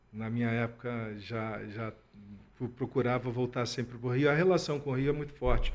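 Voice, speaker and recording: A man speaks at a moderate pace with a strong Rio de Janeiro accent. His medium pitch holds fairly even intonation over a quiet background. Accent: strong carioca. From Rio de Janeiro, Brazil. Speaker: alumni association president. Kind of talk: radio interview. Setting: radio studio. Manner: hesitant, repeats words.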